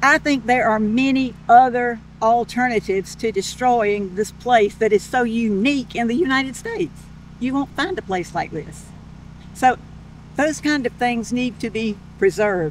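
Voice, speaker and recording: The speaker has a coastal Georgia accent and ordinary pitch variation. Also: woman, fairly high pitch for a woman, moderate pace. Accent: Southern US (coastal Georgia). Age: 70s. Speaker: local resident. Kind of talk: community interview.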